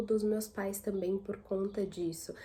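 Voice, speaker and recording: The voice is dark and mellow with some breathiness, its pitch varying in a normal way at a medium tempo. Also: woman. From São Paulo city, Brazil. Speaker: YouTuber. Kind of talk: casual vlog monologue.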